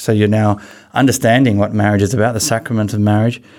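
A man's medium-pitched voice in an Australian accent at a very fast pace. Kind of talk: interview.

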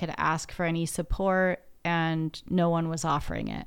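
With a plain, everyday voice and an American accent, a woman speaks at a moderate pace and fairly low pitch in a very clean recording with a silent background. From US Pacific Northwest. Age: 40s. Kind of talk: casual chat.

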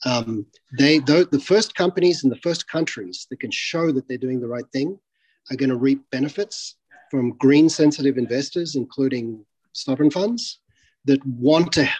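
A man with an Australian accent, in a dry, close sound with no echo. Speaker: tech company CEO. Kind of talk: interview.

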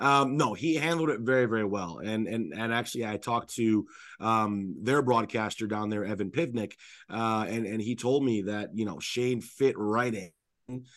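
Over a quiet background, a man speaks in a plain, everyday voice at a medium pitch and moderate pace, with ordinary pitch variation. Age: 30s. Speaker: hockey play-by-play radio announcer. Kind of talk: casual chat.

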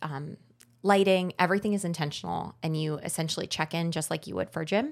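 In a New Jersey accent, a woman with a fairly low pitch speaks with ordinary pitch variation on a very clean recording with a silent background. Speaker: writer and podcaster. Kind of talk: casual chat. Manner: loud.

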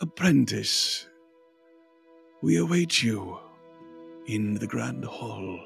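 A man in a put-on character voice talks at a fairly low pitch and a very slow pace, with long, frequent pauses and faint music in the background. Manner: echoing, authoritative.

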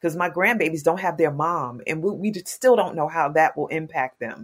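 With a normal speaking voice, a woman speaks at a fairly low pitch with ordinary pitch variation on a very clean recording with a silent background. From New York, Queens. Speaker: social worker and nonprofit leader. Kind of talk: interview.

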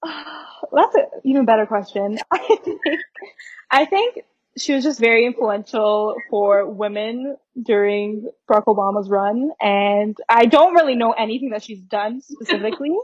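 Here is a woman with an unremarkable speaking voice, fairly high in pitch. She speaks at a moderate pace with ordinary pitch variation. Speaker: university student. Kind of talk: casual interview.

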